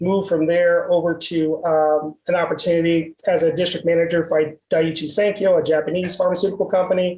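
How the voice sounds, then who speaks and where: A man with a Texas accent talks at a high pitch and a fairly quick pace, with hardly any pauses. His intonation stays monotone and flat. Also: very even loudness. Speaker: medical sales executive. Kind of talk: interview. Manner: frequent fillers and repetitions.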